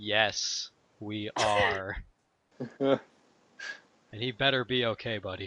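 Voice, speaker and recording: A man puts on a character voice with a fairly low pitch. He talks at a very slow pace, leaving long, frequent pauses. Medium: actual play. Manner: melodramatic.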